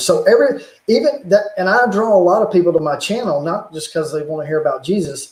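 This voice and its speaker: A man talks in a Southern US accent. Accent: Southern drawl. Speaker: YouTuber, religious and technology channel. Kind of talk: casual chat on livestream.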